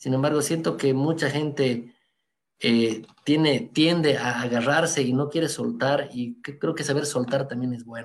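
With a normal speaking voice, a man talks at a fairly slow pace and fairly high pitch with ordinary pitch variation. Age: 30s. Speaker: photographer. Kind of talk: interview. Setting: live stream.

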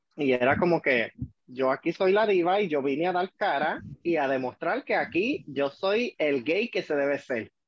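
A man with a plain, everyday voice talks at a fairly slow pace and a fairly high pitch, with lively intonation and very even loudness. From Puerto Rico, Vega Alta. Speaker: HIV prevention worker. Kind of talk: casual chat.

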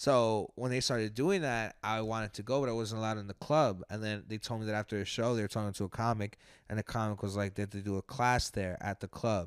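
With an American accent, the voice races at a very fast pace with hardly any pauses and fairly even intonation, in a very clean recording with a silent background and a dry, close sound with no echo. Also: man, fairly low pitch for a man. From New York, Colombian American family. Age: 20s. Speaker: comedian. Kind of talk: casual chat.

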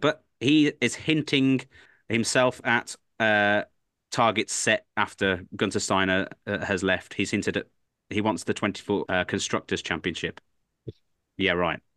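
A man with an English accent, a bright, sharp tone and fairly low pitch, ordinary pitch variation, very even loudness, a fairly slow pace with long, frequent pauses, in a dry, close sound with no echo over a quiet background. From England. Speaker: podcast host. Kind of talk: casual chat.

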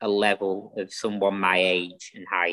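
Here a man speaks in a Lancashire accent at a moderate pace. His fairly low voice stays monotone and flat. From northern England, Wigan. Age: 20s. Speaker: personal trainer and wheelchair rugby athlete. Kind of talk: casual interview chat.

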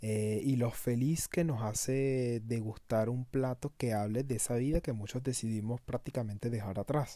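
A man's very slow voice with a Venezuelan accent, medium-pitched with a dark, mellow tone and fairly even intonation, on a very clean recording over a silent background. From Venezuela, Caracas. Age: 30s. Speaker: podcaster. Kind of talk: casual monologue. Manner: halting, many fillers and repetitions.

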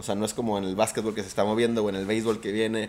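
A man is the speaker. He talks at a medium pitch. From Mexico, Mazatlán (Sinaloa). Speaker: trader and former pro golfer. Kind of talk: interview conversation.

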